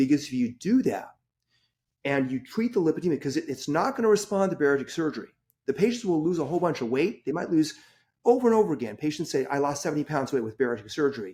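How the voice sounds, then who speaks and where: A man speaks at a very fast pace with a fairly high pitch and very wide pitch swings. The recording is very clean, with a silent background. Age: 60s. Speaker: surgeon. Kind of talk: podcast interview. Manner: animated; halting.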